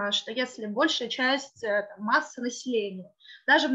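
A woman's high, bright, sharp voice at a very slow pace, ordinary pitch variation, quiet background. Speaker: event host. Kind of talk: formal event introduction. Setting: video call. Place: office. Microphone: video call.

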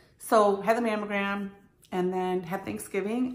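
A woman speaks at a fairly slow pace in a room with audible echo. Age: 50s. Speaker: vlogger sharing cancer journey. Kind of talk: personal vlog monologue. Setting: self-recorded video. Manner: casual, hesitant with many ums. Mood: calm, reflective. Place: kitchen. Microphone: phone near.

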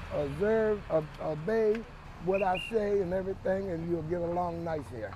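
Dry, echo-free male speech amid noticeable background noise. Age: 70s. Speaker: crossing guard. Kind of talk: interview answer. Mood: calm, warm, proud. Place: street.

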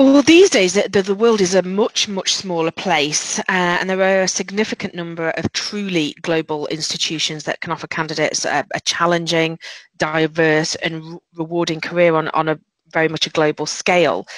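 Speaking at a moderate pace with a British accent, a woman uses a fairly low pitch and ordinary pitch variation, recorded with a dry, close sound and no echo. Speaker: recruitment director. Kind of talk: webinar presentation. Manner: hesitant, many fillers.

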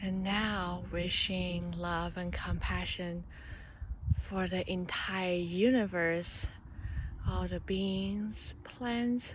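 A woman's calm, warm tone at a very slow pace, with noticeable background noise. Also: dry sound with no echo. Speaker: meditation guide. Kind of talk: guided meditation. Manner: slow, soothing, gentle with long pauses; calm, warm, encouraging. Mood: calm, gentle, warm. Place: open country. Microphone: phone near.

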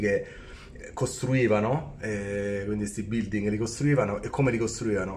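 In an ordinary speaking voice, a man talks at a fairly low pitch and a moderate pace over light background noise. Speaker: travel vlogger. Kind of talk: casual vlog chat. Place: home room. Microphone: phone near.

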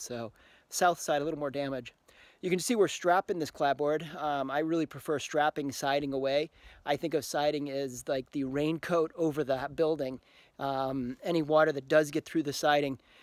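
At a moderate pace and with fairly even intonation, a man speaks in a dry sound with no echo against a quiet background. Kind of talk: casual vlog chat. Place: open country. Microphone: phone near.

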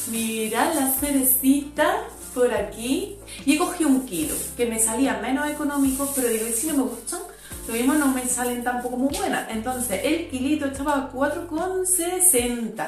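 A woman talks at a moderate pace in a high voice with ordinary pitch variation. Faint background music and audible room echo can be heard. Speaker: home vlogger. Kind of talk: casual vlog chat. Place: kitchen. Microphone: camera far.

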